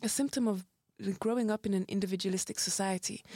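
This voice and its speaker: A woman with a British accent at a very fast pace, in a dry, close sound with no echo. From UK. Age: 20s. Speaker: podcast guest. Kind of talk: casual chat.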